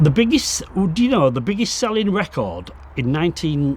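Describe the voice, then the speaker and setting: This man has a West Yorkshire accent and some vocal fry. His pitch swings very widely at a moderate pace. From northern England, Bradford. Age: 60s. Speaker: exhibition co-creator. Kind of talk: interview reminiscence. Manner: halting.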